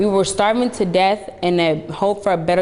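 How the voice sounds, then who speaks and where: A woman's fairly even intonation comes across over noticeable background noise. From Rwanda. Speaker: youth program member sharing story. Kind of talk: scripted testimony.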